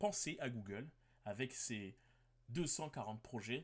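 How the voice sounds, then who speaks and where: This voice belongs to a man. It is medium in pitch. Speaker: podcast host. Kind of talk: solo podcast monologue.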